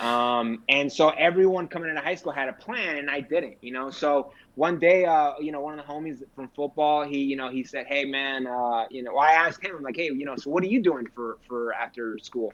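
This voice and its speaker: A man with a fairly high pitch talks at a fairly quick pace with hardly any pauses. His pitch variation is ordinary, with noticeable background noise. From California, Sacramento area (born in Mexico). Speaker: military veteran, realtor. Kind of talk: casual podcast interview.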